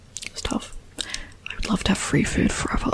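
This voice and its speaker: Someone whispers over noticeable background noise. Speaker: ASMR creator. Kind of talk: ASMR soft-spoken talk to camera. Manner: soft-spoken.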